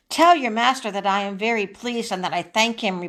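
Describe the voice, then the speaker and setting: In a put-on character voice, the speaker moves at a fairly quick pace with ordinary pitch variation. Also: woman, fairly high pitch for a woman. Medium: read story.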